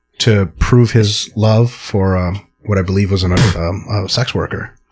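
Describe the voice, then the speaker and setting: Music plays in the background as a man speaks at a fairly slow pace. His fairly low voice keeps fairly even intonation. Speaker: podcast host, sport scientist. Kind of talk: casual chat.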